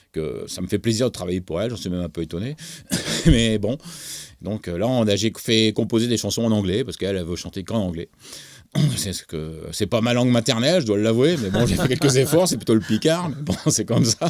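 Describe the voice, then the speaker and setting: On a very clean recording with a silent background, a man talks at a fairly quick pace. His medium-pitched voice has lively intonation. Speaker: music producer and songwriter. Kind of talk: interview. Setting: studio. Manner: halting, many hesitations.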